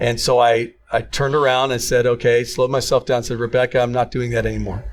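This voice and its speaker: A man talks at a very fast pace at a medium pitch with flat, monotone intonation. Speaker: podcast co-host, former coach. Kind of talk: casual chat.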